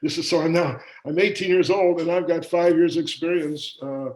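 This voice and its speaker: A very fast-talking man with a Midwestern American accent, fairly high in pitch, with fairly even intonation. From US Midwest, Kansas City, Missouri. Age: 70s. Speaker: business owner. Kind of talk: interview. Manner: halting, many fillers.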